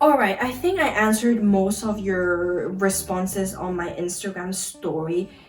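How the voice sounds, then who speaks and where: With noticeable background noise behind her, a woman speaks at a medium pitch with ordinary pitch variation. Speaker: YouTuber, university student. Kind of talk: casual sit-down Q&A chat. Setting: sit-down video at home. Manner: fast; animated.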